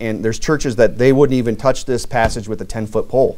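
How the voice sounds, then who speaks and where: A man talking at a fairly quick pace. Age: 30s. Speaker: pastor. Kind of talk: sermon. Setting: church. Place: church.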